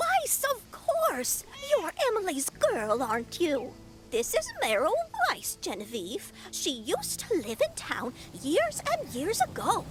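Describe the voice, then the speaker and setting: A put-on character voice speaks high and at a fairly slow pace. Background noise is clearly audible behind it. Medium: game stream. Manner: prim, chatty.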